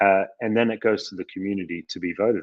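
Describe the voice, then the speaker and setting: Here is a man with an Australian accent. His pitch is fairly low, with ordinary pitch variation. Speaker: company CEO. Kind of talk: live Q&A discussion. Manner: hesitant, many fillers.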